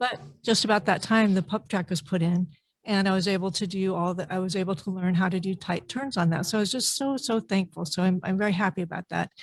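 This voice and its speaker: A woman talks very fast in a somewhat breathy voice at a medium pitch, with ordinary pitch variation. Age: 60s. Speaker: public commenter at park board meeting. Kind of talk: public comment testimony.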